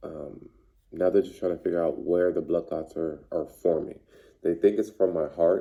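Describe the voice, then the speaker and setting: A man talks at a moderate pace in a very deep, low pitch. His tone is dark and mellow, with fairly even intonation. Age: 40s. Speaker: vlogger sharing health experience. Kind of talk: personal testimony vlog. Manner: halting, stumbles on words.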